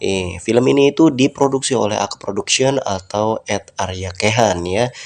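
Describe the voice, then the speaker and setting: A man with an ordinary speaking voice talks at a moderate pace and fairly low pitch. His pitch varies in an ordinary way against a quiet background. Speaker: film recap narrator. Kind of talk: casual film plot recap to viewers. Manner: chatty, informal.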